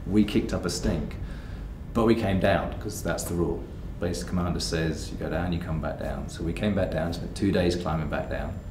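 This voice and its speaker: Amid noticeable background noise, a man speaks at a moderate pace in a very deep, low pitch. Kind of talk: interview answer. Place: home room.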